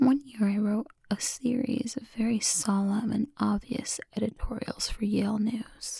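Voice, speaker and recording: A woman's fairly high-pitched, somewhat breathy voice with a dark, mellow tone, fairly even intonation, a fairly slow pace and hardly any pauses. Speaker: ASMR creator. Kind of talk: ASMR book reading. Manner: whispered, soft-spoken.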